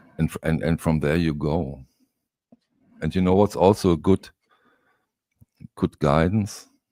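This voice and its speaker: This man has a very deep, low pitch and a dark, mellow tone, speaking at a fairly slow pace with a non-native accent, fairly even intonation, long, frequent pauses, and a dry, close sound with no echo. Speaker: record collector. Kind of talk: casual chat. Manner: halting.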